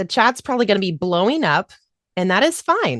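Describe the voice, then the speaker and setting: A woman speaks loudly at a medium pitch. Her pitch swings very widely. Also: dry, close sound with no echo. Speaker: voiceover coach. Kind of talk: online workshop. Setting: video call. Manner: fast.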